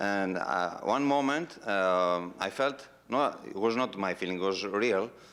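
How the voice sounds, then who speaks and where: Speaking with a non-native accent, a man shows ordinary variation in his pitch. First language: Greek. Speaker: human-powered aircraft pilot. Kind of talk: audience Q&A anecdote. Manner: halting.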